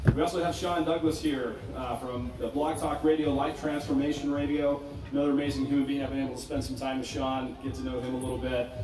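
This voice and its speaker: Over noticeable background noise and audible room echo, a man speaks at a very fast pace with hardly any pauses, his fairly high pitch held in a monotone, flat intonation. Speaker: panel moderator. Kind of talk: panel discussion. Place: tent.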